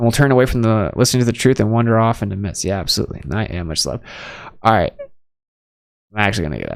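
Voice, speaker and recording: Talking very fast yet pausing long and often, a man shows big swings in loudness. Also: medium pitch for a man, ordinary pitch variation, very clean recording, silent background. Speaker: livestream host. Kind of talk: casual chat.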